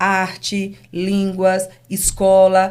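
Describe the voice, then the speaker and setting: A woman is speaking. Her pitch is fairly low. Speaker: business owner. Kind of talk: interview. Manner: calm.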